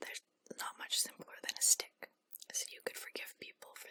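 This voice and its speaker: Whispering at a fairly quick pace comes through against noticeable background noise. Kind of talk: whispered ASMR book reading for sleep. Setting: close-up microphone. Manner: whispered, quiet, relaxing.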